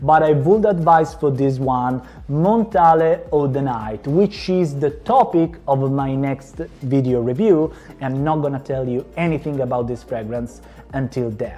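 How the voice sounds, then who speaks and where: Speaking with an Italian accent, a man uses a fairly high pitch and ordinary pitch variation. His pace is fairly slow. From Calabria, southern Italy. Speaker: fragrance reviewer. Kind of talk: product review.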